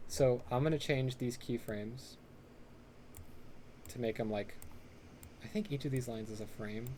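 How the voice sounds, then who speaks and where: A man speaks in a dark, mellow tone that is somewhat breathy. He leaves long, frequent pauses. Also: medium pitch for a man, ordinary pitch variation. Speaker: pixel art workshop instructor. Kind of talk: tutorial. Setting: live online stream. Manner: fast; casual with many fillers.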